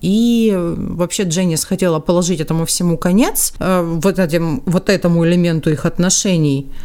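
A woman with a fairly low pitch and a dark, mellow tone talks at a moderate pace with hardly any pauses, very even loudness and ordinary pitch variation. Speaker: true crime podcast host. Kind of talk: storytelling narration. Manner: casual, conversational.

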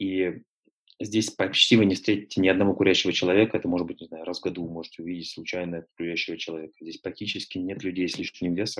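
A man with a very deep, low pitch talks at a very fast pace. His intonation is monotone and flat against a quiet background. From North Caucasus (Nalchik), then Moscow from age 14. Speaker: publisher and triathlon coach. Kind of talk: interview.

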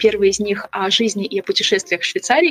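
Speaking at a very fast pace, a woman is heard against noticeable background noise. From Ukraine, Kyiv. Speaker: travel and investing blogger. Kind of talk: casual interview.

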